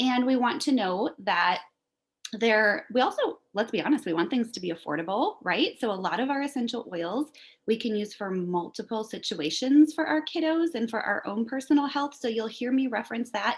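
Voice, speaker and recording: A woman with a fairly high voice swings her pitch very widely. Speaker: essential oils seller. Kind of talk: presentation. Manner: fast.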